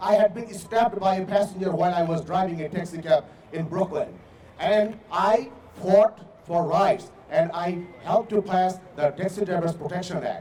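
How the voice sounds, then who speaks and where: Against noticeable background noise, a man with a non-native accent speaks at a high pitch with fairly even intonation. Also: moderate pace. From immigrant to US, not native English speaker. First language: not English. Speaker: city council candidate. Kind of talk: closing statement at candidate forum. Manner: halting, many hesitations and repeats.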